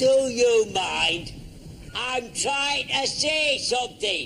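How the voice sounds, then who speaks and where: Over clear background noise, a man does a put-on character voice, raised and projected at an extremely high pitch and a very slow pace. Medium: short film. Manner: grumbling, slow.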